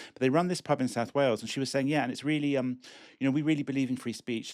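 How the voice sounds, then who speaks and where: A man with a British accent at a very fast pace, medium pitch and ordinary pitch variation, on a very clean recording with a silent background. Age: 60s. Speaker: immigration lawyer. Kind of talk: casual chat. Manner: halting.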